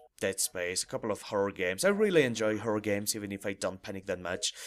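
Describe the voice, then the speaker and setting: With music in the background, a man speaks at medium pitch in a French accent. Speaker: gaming YouTuber, let's player. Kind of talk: gameplay commentary intro. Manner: casual, halting with fillers.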